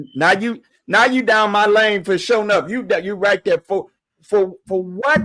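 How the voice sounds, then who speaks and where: A man's raised, projected voice at a high pitch, with ordinary pitch variation and a moderate pace, in a dry, close sound with no echo. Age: 60s. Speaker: bishop and show host. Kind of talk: casual chat. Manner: halting, many repetitions; animated.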